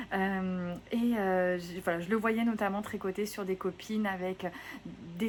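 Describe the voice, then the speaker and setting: Delivered in a monotone, flat intonation, the words come at a fairly slow pace. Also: woman. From southwest France, Gironde. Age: 30s. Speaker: knitting podcaster. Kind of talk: casual vlog chat. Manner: hesitant, many fillers.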